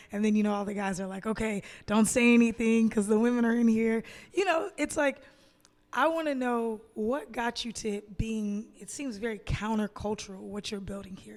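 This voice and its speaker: A woman in an American accent with a normal speaking voice, fairly high pitch and ordinary pitch variation, at a moderate pace on a very clean recording with a silent background. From US South, Atlanta. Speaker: podcast co-host. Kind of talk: interview conversation.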